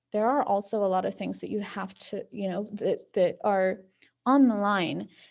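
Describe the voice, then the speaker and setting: A woman with a Spanish accent, dark and mellow in tone, against a quiet background. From central Oregon, born in Mexico. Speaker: immigrant rights advocate and medical interpreter. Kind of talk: panel discussion. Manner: casual, many filler words.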